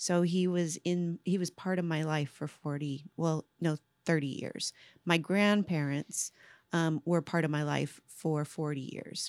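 A woman with an American accent uses a normal speaking voice, fairly low in pitch with fairly even intonation, recorded dry and close with no echo on a very clean track over a silent background. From Central California. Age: 50s. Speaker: nonprofit state director.

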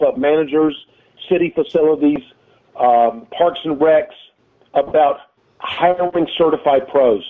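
In an ordinary speaking voice, a man talks at a fairly slow pace with a fairly high pitch. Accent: American. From North Carolina, High Point. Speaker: tennis director and coach. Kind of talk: interview.

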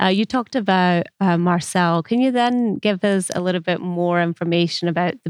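A woman with a fairly low pitch and an unremarkable speaking voice is heard against a quiet background in a dry, close recording with no echo. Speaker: podcast host. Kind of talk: interview.

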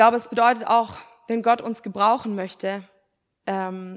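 On a very clean recording with a silent background, a woman is heard. She talks at a moderate speed, her intonation fairly even. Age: 20s. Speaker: preacher, theology student. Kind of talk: sermon. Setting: church.

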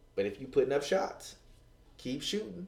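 The speech comes at a moderate pace in an animated tone, with audible echo in the room. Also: man. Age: 20s. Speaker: relationship podcast host. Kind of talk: casual chat.

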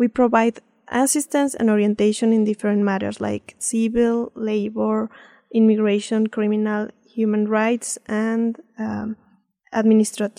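In a Spanish accent, a woman speaks at a moderate pace and fairly high pitch with flat, monotone intonation and a dark, mellow tone, the sound dry and close with no echo in a very clean recording with a silent background. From Mexico City. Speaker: consulate official. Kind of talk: interview. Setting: studio. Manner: halting.

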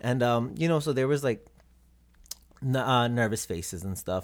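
This man speaks with an American accent and ordinary pitch variation. The recording is very clean, with a silent background. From South Texas, Robstown near Corpus Christi. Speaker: visual artist. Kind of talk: casual interview.

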